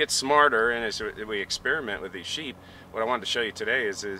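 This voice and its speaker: An unremarkable speaking voice moves at a fairly quick pace with ordinary pitch variation. There is light background noise and a dry sound with no echo. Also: man. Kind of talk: interview answer.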